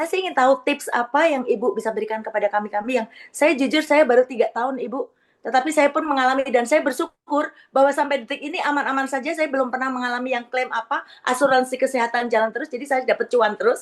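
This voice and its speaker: A woman speaks at a very fast pace with hardly any pauses. Her pitch is high, with ordinary pitch variation. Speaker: insurance agent, audience member. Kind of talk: question from the audience.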